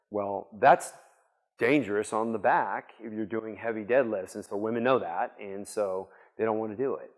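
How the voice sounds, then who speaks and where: At a moderate pace, a man talks in a fairly low pitch with ordinary pitch variation. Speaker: conference speaker. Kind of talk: conference Q&A. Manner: loud.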